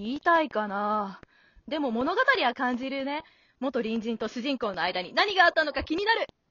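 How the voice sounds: A woman's put-on character voice, high and fairly bright, with big pitch swings at a moderate pace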